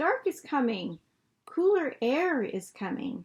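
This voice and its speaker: In a put-on character voice, the speaker growls at a fairly slow pace with very wide pitch swings. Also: woman, high pitch for a woman. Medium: read story. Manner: growling.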